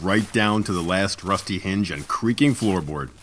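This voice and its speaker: An unremarkable speaking voice belongs to a man at a moderate pace. His intonation is lively. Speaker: audiobook narrator. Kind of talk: horror audio drama narration.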